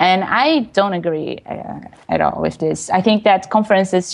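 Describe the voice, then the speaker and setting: With a Portuguese accent, a woman speaks at a fairly low pitch with ordinary pitch variation. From Brazil. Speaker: web developer and technical writer. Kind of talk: interview. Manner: hesitant, many fillers.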